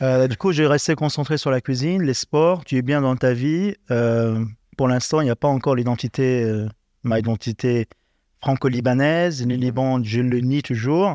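A man talks at a fairly slow pace and medium pitch, with ordinary pitch variation and a dark, mellow tone. The recording is very clean with a silent background, a dry, close sound with no echo, and very even loudness. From Lebanon. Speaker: chef. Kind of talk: interview.

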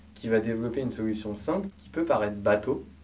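Talking at a very fast pace, a man with a fairly low pitch is heard with audible room echo. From France, Mayenne. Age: 20s. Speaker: startup coach. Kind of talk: interview.

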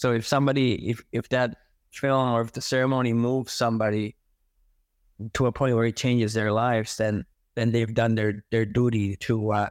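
Recorded very cleanly against a silent background, a man speaks at a medium pitch with very even loudness and monotone, flat intonation in a dry, close sound with no echo. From Elsipogtog, New Brunswick, Canada. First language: Mi'kmaq. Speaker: filmmaker, painter and music producer. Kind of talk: interview, reflective storytelling.

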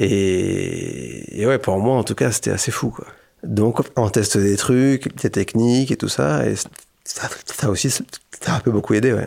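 A man speaks at a very slow pace, his pitch fairly low and his intonation lively. The recording is very clean, with a silent background. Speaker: association delegate who stutters. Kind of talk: interview testimony. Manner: stuttering, repetitions.

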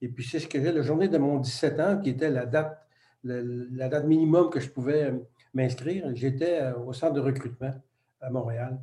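A man speaks at a moderate pace, pitched fairly high with ordinary pitch variation. His tone is dark, mellow, and somewhat breathy. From Quebec. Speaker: retired photographer and business coach, ex-military. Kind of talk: interview.

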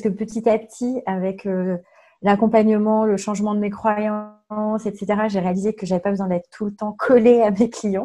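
A woman with a fairly high voice speaks at a moderate pace while music plays in the background. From France, Touraine (Tours). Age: 40s. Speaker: coaching client. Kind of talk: testimony. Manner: halting.

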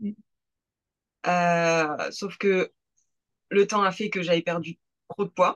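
Speaking at a very slow pace with long, frequent pauses, a woman of medium pitch holds a monotone, flat intonation in a dry, close sound with no echo. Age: 20s. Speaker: amateur bodybuilding competitor. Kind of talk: casual chat.

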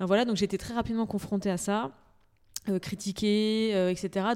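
Dark and mellow in tone, a woman speaks at a medium pitch and a fairly quick pace. Her intonation is fairly even, and the recording is very clean with a silent background. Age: 30s. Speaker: entrepreneur, cosmetics brand founder. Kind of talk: casual chat.

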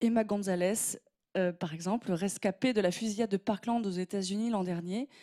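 A woman speaks in an ordinary speaking voice with fairly even intonation, in a dry, close sound with no echo on a very clean recording with a silent background. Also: medium pitch for a woman, moderate pace. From southwest France, Gironde countryside. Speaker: opinion columnist. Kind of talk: scripted opinion piece.

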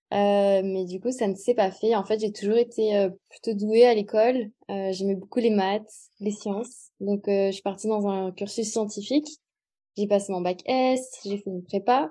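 Over a quiet background, a woman talks at a fairly slow pace and a medium pitch, her dark, mellow tone carrying fairly even intonation. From southern France (Montpellier). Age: 20s. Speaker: muralist and graphic designer. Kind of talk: interview.

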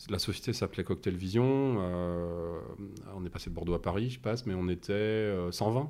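A man with a dark, mellow tone and fairly low pitch speaks at a fairly slow pace with ordinary pitch variation. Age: 50s. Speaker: company CEO. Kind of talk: interview conversation. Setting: in person at the company site. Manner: halting, many repetitions and fillers.

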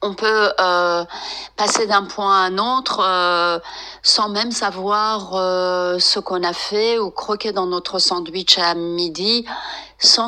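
A woman speaks at a very slow pace with fairly even intonation over noticeable background noise. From France, of Iranian descent. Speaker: psychotherapist and meditation teacher. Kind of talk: interview. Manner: halting, with many hesitations.

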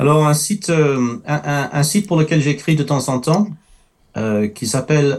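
Speaking at a very slow pace with a non-native accent, the man has a fairly high pitch. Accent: noticeable foreign. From France, early childhood in the Middle East. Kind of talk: testimony in a talk show.

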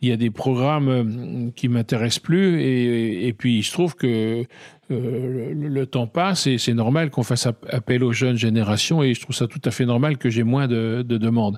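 A medium-pitched male voice at a moderate pace, with ordinary pitch variation. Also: dry, close sound with no echo. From France, Burgundy (near Dijon). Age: 60s. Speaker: trumpeter and composer. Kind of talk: interview. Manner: halting.

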